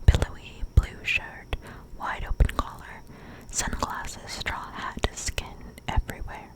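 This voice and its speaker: Whispering at a fairly slow pace, a woman's voice shows big swings in loudness over noticeable background noise. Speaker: ASMR creator. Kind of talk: ASMR book reading. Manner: soft, whispered, slow.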